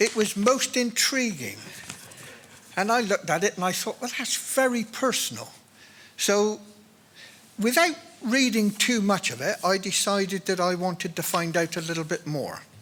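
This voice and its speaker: Over noticeable background noise, a man with a high pitch talks at a moderate pace, his intonation lively and broken by long, frequent pauses. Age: 70s. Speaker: retired farmer and product distributor. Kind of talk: testimony speech to an audience. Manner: hesitant, with fillers.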